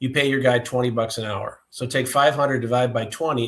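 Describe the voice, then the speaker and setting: Using a plain, everyday voice, a man holds a medium pitch and fairly even intonation. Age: 60s. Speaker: business owner, testing equipment expert. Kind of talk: podcast interview.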